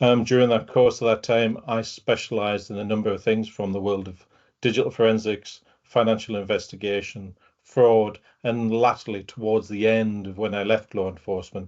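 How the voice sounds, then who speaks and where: In a northeast English accent, a man with a fairly low pitch talks at a moderate pace in a monotone, flat intonation. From northeast England. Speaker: fraud and open-source investigation specialist, retired detective. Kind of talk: webinar talk. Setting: video call.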